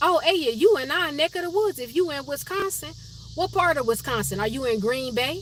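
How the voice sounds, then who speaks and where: Over noticeable background noise, a woman with an American accent speaks at a fairly quick pace, high-pitched with very wide pitch swings. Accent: sounds country (per viewer). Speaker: livestream host. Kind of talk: casual live stream chat with viewers. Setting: live stream from her car.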